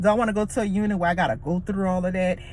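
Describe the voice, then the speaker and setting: Very rapid, somewhat breathy speech from a woman. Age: 40s. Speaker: vlogger and nursing student. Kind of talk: casual vlog monologue.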